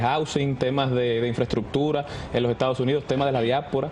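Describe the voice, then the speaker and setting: Over music in the background, a man speaks at a fairly quick pace with a medium pitch. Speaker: young political candidate, lawyer. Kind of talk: TV interview.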